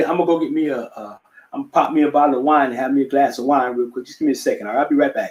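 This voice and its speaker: At a very fast pace, a man talks with ordinary pitch variation and big swings in loudness. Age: 60s. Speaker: musician and vocal coach. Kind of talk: casual chat. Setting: live stream. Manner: halting.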